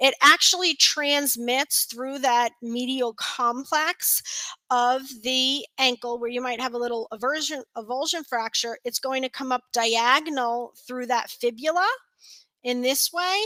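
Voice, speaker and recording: A woman's raised, projected voice in a New York accent, high-pitched with ordinary pitch variation and a bright, sharp tone, at a fairly slow pace, dry and close with no echo, in a very clean recording over a silent background. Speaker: continuing education presenter, physical therapy. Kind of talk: lecture. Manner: hesitant fillers.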